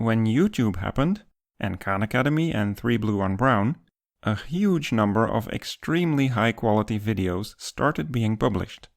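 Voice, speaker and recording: At a moderate pace and medium pitch, a man with a Dutch accent talks with lively intonation, his sound dry and close with no echo on a very clean recording with a silent background. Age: 50s. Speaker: math educator YouTuber. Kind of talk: scripted narration.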